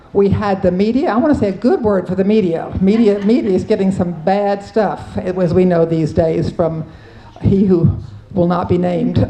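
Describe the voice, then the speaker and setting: There is noticeable background noise and audible room echo. A woman speaks at a moderate pace with ordinary pitch variation. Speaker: Episcopal priest, panelist. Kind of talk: conference panel talk. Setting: conference panel with audience.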